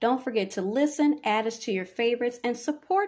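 A woman has a plain, everyday voice with a fairly high pitch. Her intonation is lively. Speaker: podcast host. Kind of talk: guided meditation. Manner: soft-spoken, measured, reassuring.

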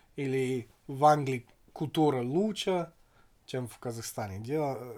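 With a slight English accent, a man speaks at a very slow pace with ordinary pitch variation. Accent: slight English accent in Russian. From England. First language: English (speaking Russian). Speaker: podcast guest, former expat in Kazakhstan. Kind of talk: casual chat.

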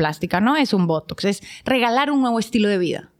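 Her voice sits fairly high. The woman's intonation rises and falls in a lively way. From Colombia, Bogotá. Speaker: business owner. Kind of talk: casual chat.

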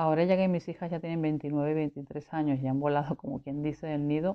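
A woman speaks with a very deep, low pitch. Her intonation stays monotone and flat. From Venezuela, Caracas. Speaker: patient with rheumatoid arthritis. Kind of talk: interview.

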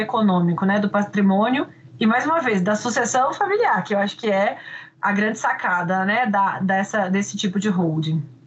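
Lively intonation from a woman at a fairly high pitch, with very even loudness and noticeable background noise. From Brazil, Minas Gerais. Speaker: law professor and podcast host. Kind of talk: interview.

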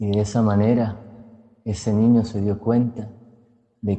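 A man's fairly low voice unfolds at a fairly slow speed. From Colombia, Cúcuta (Norte de Santander). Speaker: storyteller and psychologist. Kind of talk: storytelling narration.

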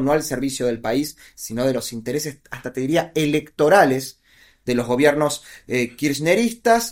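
Using an ordinary speaking voice, a man with a fairly high pitch talks at a moderate pace and with lively intonation. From Argentina, Buenos Aires province. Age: 40s. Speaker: political analyst and author. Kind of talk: interview conversation.

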